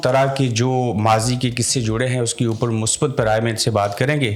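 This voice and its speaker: A man speaks at a medium pitch with noticeable background noise behind him. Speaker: podcast host. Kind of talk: podcast interview questions.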